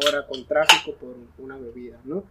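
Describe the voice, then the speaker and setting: A man with a fairly high pitch talks at a moderate pace in an unremarkable speaking voice. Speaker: coffee entrepreneur. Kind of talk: casual chat.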